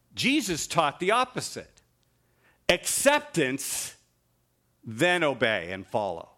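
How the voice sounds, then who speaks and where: A man's fairly high, bright, sharp voice with vocal fry and very wide pitch swings, at a very slow pace with long, frequent pauses, on a very clean recording with a silent background. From Ontario, Canada. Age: 50s. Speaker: guest preacher. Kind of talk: sermon. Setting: church.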